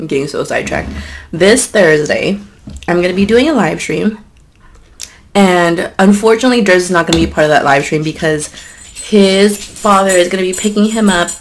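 The speech moves at a fairly quick pace with ordinary pitch variation. There is light background noise. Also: woman. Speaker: mukbang vlogger. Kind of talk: casual vlog chat. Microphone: camera far.

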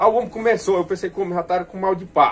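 Light background noise accompanies a man speaking at a high pitch. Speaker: storyteller. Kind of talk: casual anecdote telling. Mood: humorous, animated storytelling. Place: workshop. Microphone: phone near.

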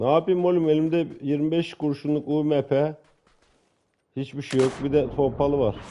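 A man speaks in a dark, mellow tone. His pace is fairly slow, with light background noise. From Turkey. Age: 40s. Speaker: gaming streamer. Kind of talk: casual banter while gaming. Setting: online multiplayer game chat. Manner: animated, joking.

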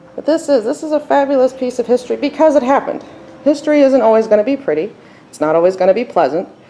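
Her pitch swings very widely as the woman talks at a very fast pace. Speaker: tour guide explorer. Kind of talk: casual narrated tour. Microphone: phone near.

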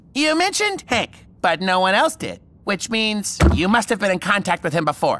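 A man does a cartoonish character voice, raised and projected, pitched high. His intonation is lively and his pace moderate. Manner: fussy, precise, panicky.

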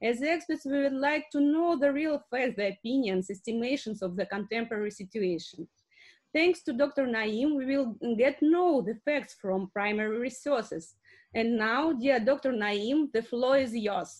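Against a quiet background, a woman with a Russian accent speaks at a fairly slow pace in a high voice. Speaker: academic moderator. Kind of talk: moderating an online seminar. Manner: halting. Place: home room. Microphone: webcam.

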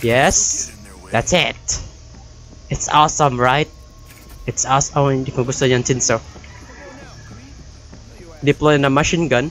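Faint music plays behind a man who talks at a fairly slow pace with long, frequent pauses. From Philippines (Leyte). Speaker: gamer. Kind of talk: casual let's-play commentary in Taglish. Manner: upbeat. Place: home room. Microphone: studio mic.

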